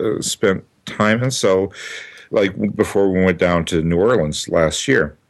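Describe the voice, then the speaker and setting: A man speaks with a Minnesota accent. His pace is fairly slow. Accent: Midwestern, Minnesota American. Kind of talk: casual chat. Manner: hesitant, many fillers.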